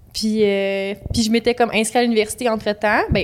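A woman speaks at a fairly high pitch with fairly even intonation. Her pace is moderate. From Quebec, Laurentians (Saint-Joseph-du-Lac). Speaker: graphic designer. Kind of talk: interview.

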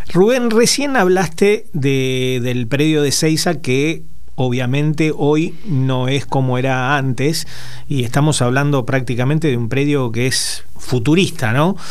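A fairly high-pitched man at a fairly slow pace, with audible room echo and noticeable background noise. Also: ordinary pitch variation. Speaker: radio co-host. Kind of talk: radio interview.

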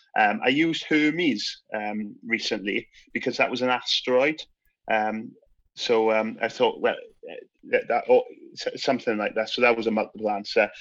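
Speaking at a moderate pace, a man talks with a South Wales accent. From Wales, Swansea. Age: 30s. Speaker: teacher. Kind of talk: casual chat.

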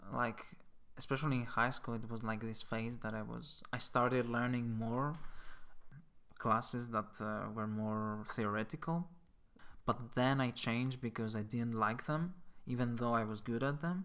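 A man with a Greek accent speaks at a fairly slow pace. His tone is bright and sharp. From Greece. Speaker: volunteer. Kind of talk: interview. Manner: halting, many fillers.

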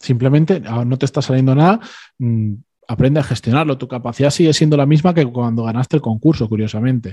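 Against a quiet background, a man speaks very fast in a somewhat breathy, dark and mellow voice at a medium pitch with ordinary pitch variation. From Spain. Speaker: former architect. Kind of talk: interview. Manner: halting.

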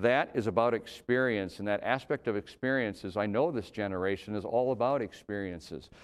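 Over a quiet background, the speech runs at a fairly quick pace with hardly any pauses and ordinary pitch variation. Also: man, fairly low pitch for a man. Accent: Upper Midwest. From Minnesota. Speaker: city mayor. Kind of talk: annual address speech. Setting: virtual broadcast. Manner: hesitant with many fillers.

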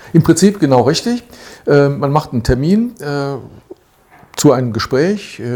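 Talking at a fairly slow pace with long, frequent pauses, a man with a dark, mellow tone and a fairly high pitch makes very wide pitch swings. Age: 60s. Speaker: retired volunteer advisor. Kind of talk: interview.

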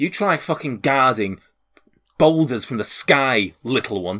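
In a gruff, put-on character voice with a Liverpool accent, a man speaks at a medium pitch and a fairly slow pace on a very clean recording with a silent background. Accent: Liverpool Scouse. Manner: gruff, suspicious, threatening.

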